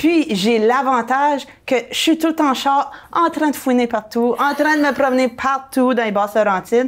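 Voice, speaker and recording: A woman's high-pitched voice, with ordinary pitch variation and very even loudness, comes through on a very clean recording with a silent background. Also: moderate pace. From New Brunswick, Canada. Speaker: real estate broker and blogger. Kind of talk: casual interview chat.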